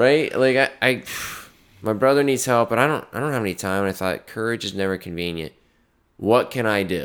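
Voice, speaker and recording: A man talks at a fairly quick pace with medium pitch and ordinary pitch variation. He has an unremarkable speaking voice, and the recording is very clean, with a silent background. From North Carolina. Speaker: podcast co-host. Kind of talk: casual chat.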